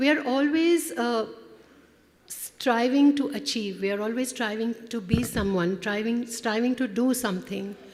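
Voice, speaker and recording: A woman speaks at a fairly slow pace with a fairly high pitch and ordinary pitch variation. Noticeable background noise runs underneath. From India (Kolkata). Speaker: conference director. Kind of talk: welcome speech. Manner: halting.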